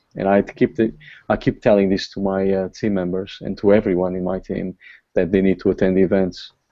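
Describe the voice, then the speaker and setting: A man with a Portuguese accent, fairly low in pitch, at a fairly quick pace. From Portugal. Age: 40s. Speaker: online marketing top earner. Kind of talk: motivational talk. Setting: video call.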